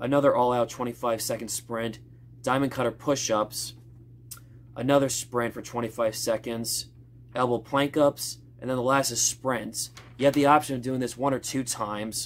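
At a moderate pace, a man talks in a monotone with flat intonation. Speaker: fitness vlogger. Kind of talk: casual vlog chat. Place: gym. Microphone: phone near.

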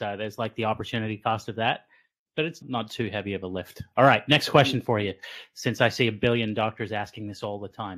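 An unremarkable speaking voice with fairly even intonation moves at a fairly quick pace against a quiet background. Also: man, fairly low pitch for a man. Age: 40s. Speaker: physician podcast host. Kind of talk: casual interview. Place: home room. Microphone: studio mic.

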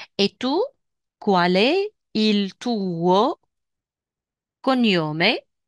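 This woman's voice sits at a medium pitch and carries lively intonation. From Tunisia. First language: Tunisian Arabic (speaking Italian). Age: 40s. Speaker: language teacher. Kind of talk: lecture. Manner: slow.

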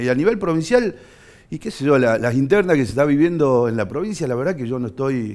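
This is a man in a normal speaking voice. His pitch is medium and his intonation lively. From Argentina, Tucumán (Bellavista); Tucumán, Argentina. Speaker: politician; politician guest. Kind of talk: studio interview. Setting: TV studio. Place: studio. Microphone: headset.

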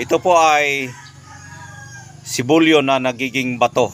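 A man with a Visayan accent speaks with fairly even intonation over noticeable background noise. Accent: Visayan-accented Tagalog. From Visayas or Mindanao, Philippines. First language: Bisaya (Cebuano) (speaking Tagalog). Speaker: vlogger. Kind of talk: casual vlog talk.

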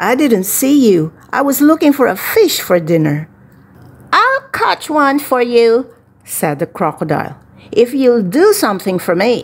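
A woman with a high pitch, very wide pitch swings and an animated tone, at a fairly slow pace over noticeable background noise. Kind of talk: bedtime story reading aloud. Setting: video channel read-aloud. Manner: animated, voicing characters (crooning, growling).

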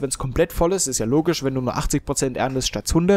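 A man with a Franconian accent and a fairly high pitch is heard in a dry, close sound with no echo. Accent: Franconian German, noticeable. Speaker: let's play gamer. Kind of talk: gameplay commentary. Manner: casual, hesitant with fillers.

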